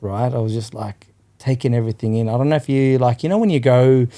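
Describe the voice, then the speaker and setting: The voice has a dark, mellow tone, an Australian accent and ordinary pitch variation. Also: man. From Western Sydney, Australia. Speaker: cafe owner. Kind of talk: casual chat.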